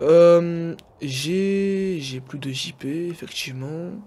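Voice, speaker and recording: A man speaks with a fairly high-pitched voice. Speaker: gaming youtuber. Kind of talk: gameplay commentary. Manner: halting, many fillers.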